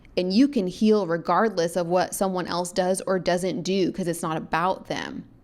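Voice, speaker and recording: Hardly pausing, a woman with a medium pitch and an animated tone speaks at a moderate pace with ordinary pitch variation. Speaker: spiritual podcast host. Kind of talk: solo podcast monologue. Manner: casual, animated.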